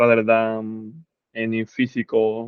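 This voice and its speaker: A man talks at a medium pitch. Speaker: physics instructor. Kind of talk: lecture. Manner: halting.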